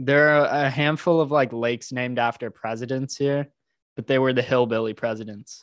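A man's ordinary speaking voice at medium pitch, with an American accent, fairly even intonation and a fairly quick pace. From Texas, Houston. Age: 20s. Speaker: entrepreneur. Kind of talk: casual chat.

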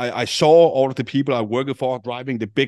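A man with a Danish accent, fairly quick pace and fairly even intonation, in a dry, close sound with no echo. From Denmark. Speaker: affiliate marketing entrepreneur. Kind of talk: interview. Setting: remote call.

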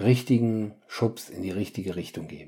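A man speaks at a moderate pace with a dark, mellow tone and fairly low pitch. His pitch variation is ordinary, and the recording is very clean with a silent background. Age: 50s. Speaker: family coach and podcast host. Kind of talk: solo podcast monologue. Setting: home, attic apartment. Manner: animated.

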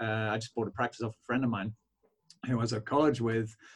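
A man talks at a very fast pace with a Belfast accent. His pitch sits in the medium range. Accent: Belfast Northern Irish. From Northern Ireland, Belfast. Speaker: chiropractor. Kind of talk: interview podcast conversation.

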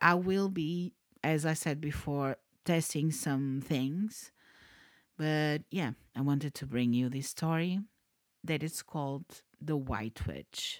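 In a Portuguese accent, a woman speaks at a very slow pace with a very deep, low pitch and ordinary pitch variation. The sound is dry and close with no echo, on a very clean recording with a silent background. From Portugal. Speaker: podcast host, storyteller. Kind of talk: reading aloud; casual chat.

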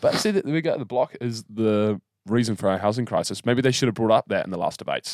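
Talking very fast in a New Zealand accent, a man with a medium pitch and ordinary pitch variation comes across in a dry, close sound with no echo. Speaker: podcast co-host. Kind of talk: casual chat.

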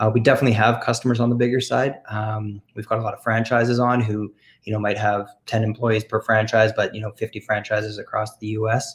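Using a Canadian accent, a man speaks at a very fast pace with hardly any pauses, in a medium-pitched, somewhat breathy voice with monotone, flat intonation, on a very clean recording with a silent background. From Canada. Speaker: software company representative. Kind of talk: casual interview.

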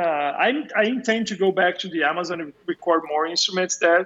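A man with a Brazilian accent, lively intonation and a moderate pace. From Brazil, São Paulo. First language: Portuguese. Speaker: video game composer and sound designer. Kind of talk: casual interview chat. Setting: remote call.

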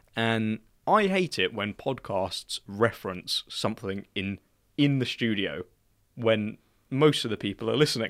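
On a very clean recording with a silent background, a man with a British accent speaks fairly slowly at a medium pitch, with lively intonation. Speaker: podcast host. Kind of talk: casual chat.

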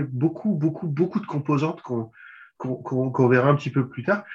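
A man speaks at a fairly slow pace in a somewhat breathy voice with ordinary pitch variation, over a quiet background. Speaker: podcast host. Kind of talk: interview. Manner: halting.

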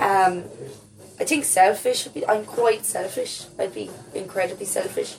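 Over noticeable background noise, a woman with a Waterford Irish accent speaks at a fairly slow pace. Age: 20s. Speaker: playwright. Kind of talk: casual chat.

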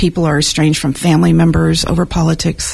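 A woman talks at a fairly quick pace through noticeable background noise. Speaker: civic dialogue volunteer. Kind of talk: radio interview. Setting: studio.

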